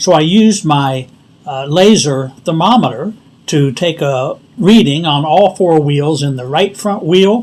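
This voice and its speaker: The speaker uses a normal speaking voice at a fairly slow pace. Pitch variation is ordinary. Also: man. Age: 60s. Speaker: DIY tutorial channel host. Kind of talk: tutorial. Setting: outdoors in driveway.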